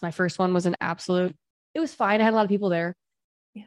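With a normal speaking voice, the female speaker holds a medium pitch that shifts in an ordinary way. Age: 30s. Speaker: business coach. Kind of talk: interview.

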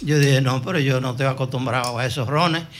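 A man is speaking. There is audible room echo. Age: 80s+. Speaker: veteran broadcaster. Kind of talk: interview storytelling.

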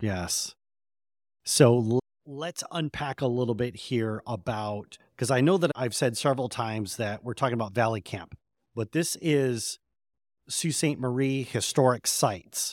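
This man talks fairly slowly at a medium pitch, and his pitch varies in an ordinary way. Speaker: podcast host. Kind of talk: interview. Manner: enthusiastic.

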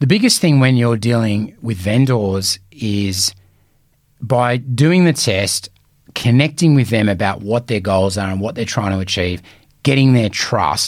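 A man's medium-pitched voice with an Australian accent and lively intonation. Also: fairly slow pace. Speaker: real estate coach. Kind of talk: solo podcast talk. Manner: casual, conversational.

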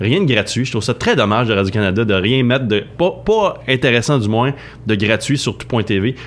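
A man with a Quebec accent speaks at a moderate pace. His loudness stays very even, with ordinary pitch variation. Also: medium pitch for a man. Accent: Québécois French. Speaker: film columnist. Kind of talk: radio chronicle, casual chat.

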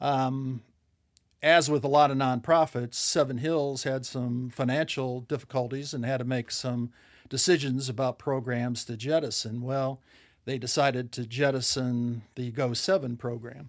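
In an American accent, a normal speaking voice moves at a moderate pace with fairly even intonation. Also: man, medium pitch for a man. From Ohio. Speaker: nonprofit leader. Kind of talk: casual chat.

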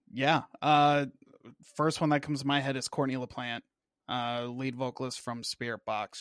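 A man's normal speaking voice with an American accent, medium in pitch and moderate in pace, in a dry, close, very clean recording with no echo and a silent background. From Washington State, US. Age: 20s. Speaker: Navy veteran and YouTuber. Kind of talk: casual interview chat.

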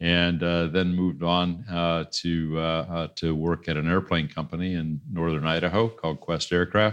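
Very deep, low male voice with a US Midwestern accent, monotone and flat, at a moderate pace over a quiet background. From Iowa, US Midwest. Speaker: entrepreneur and pastor. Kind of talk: interview. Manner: halting.

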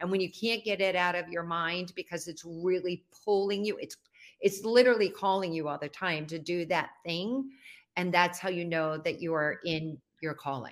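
A woman with a normal speaking voice talks at a moderate pace in a fairly low pitch with ordinary pitch variation, in a very clean recording with a silent background. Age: 60s. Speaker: visibility expert and speaker. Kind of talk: casual interview. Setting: live video stream.

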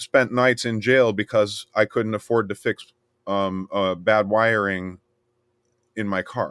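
In a dry, close sound with no echo, a man with an American accent talks fairly slowly at a medium pitch with ordinary pitch variation, on a very clean recording with a silent background. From US South, rural Miami area, Florida. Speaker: DJ and musician. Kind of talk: casual interview chat. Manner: animated, many fillers and repeats.

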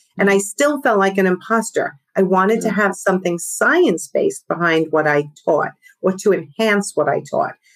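Someone talks at a moderate speed. The voice carries a New York accent. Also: woman. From East Coast, New York tri-state area. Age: 50s. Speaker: podcast guest, business coach.

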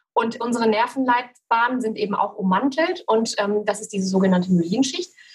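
A normal speaking voice, a woman's, fairly high in pitch with ordinary pitch variation and a moderate pace. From Cologne, western Germany. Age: 40s. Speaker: photographer with multiple sclerosis. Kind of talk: interview, personal testimony.

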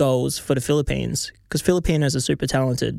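A man at medium pitch speaks with an Australian accent. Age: 20s. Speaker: rapper. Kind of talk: casual chat. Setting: studio.

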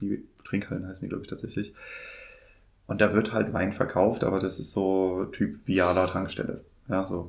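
A man with a very deep, low pitch speaks at a moderate pace in a monotone, flat way, leaving long, frequent pauses. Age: 30s. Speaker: wine podcast host and trade journalist. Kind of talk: interview. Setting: in-person studio at an agency in Mainz.

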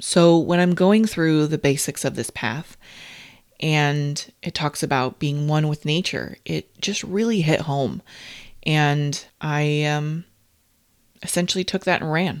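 A woman with an American accent and a very deep, low pitch, speaking at a very slow pace on a very clean recording with a silent background. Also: ordinary pitch variation. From California, conservative area. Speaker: podcast host and tarot reader. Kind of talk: solo monologue podcast.

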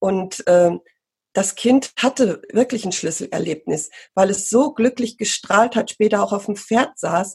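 Medium pitch and ordinary pitch variation in a woman's voice, a normal speaking voice. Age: 50s. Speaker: pony riding instructor and marketing entrepreneur. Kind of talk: interview conversation.

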